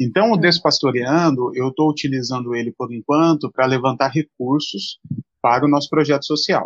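A man's ordinary speaking voice, fairly high-pitched, at a moderate pace with ordinary pitch variation, in a dry, close sound with no echo. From São Paulo state, Brazil (Mogi das Cruzes). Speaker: pastor. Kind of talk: live-stream interview.

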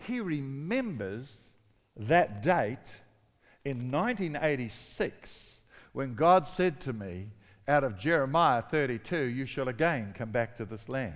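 A man's medium-pitched voice with a New Zealand accent, very slow pace and lively intonation. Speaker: pastor. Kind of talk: sermon.

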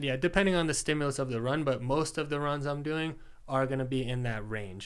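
A man at medium pitch with ordinary pitch variation, an ordinary speaking voice. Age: 30s. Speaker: performance coach and athlete. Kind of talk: casual interview. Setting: host's home studio.

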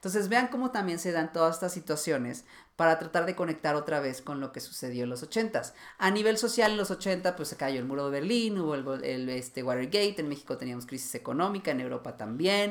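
Fairly quick and lively in intonation, a man with an unremarkable speaking voice talks at a fairly high pitch. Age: 30s. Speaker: fashion stylist and podcast host. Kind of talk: solo educational podcast. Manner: casual, with frequent fillers.

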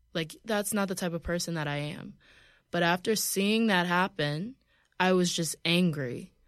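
On a very clean recording with a silent background, a woman with a normal speaking voice and an American accent speaks at a moderate pace, her pitch fairly low with ordinary variation. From US South. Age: 20s. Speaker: model and journalist. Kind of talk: casual chat. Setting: studio.

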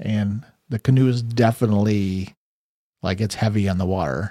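The recording is very clean with a silent background. A man speaks in a dark, mellow tone at a fairly low pitch. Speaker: game master. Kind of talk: actual-play tabletop roleplaying podcast.

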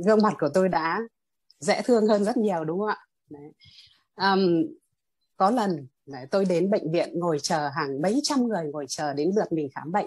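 Against a quiet background, a woman with a medium-pitched voice talks at a moderate pace, her intonation lively, her loudness swinging widely, and her speech broken by long, frequent pauses. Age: 50s. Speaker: meditation student, teacher. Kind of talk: testimony.

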